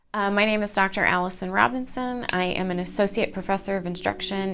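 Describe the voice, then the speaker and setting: A woman talking at a very fast pace with lively intonation amid noticeable background noise. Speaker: history professor. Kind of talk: interview.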